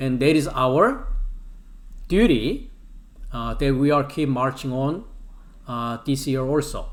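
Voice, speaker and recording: A man with a Korean accent at a fairly high pitch, speaking at a very slow pace with long, frequent pauses, with audible room echo. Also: ordinary pitch variation. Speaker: Bible language teacher. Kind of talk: lecture. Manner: halting, many fillers.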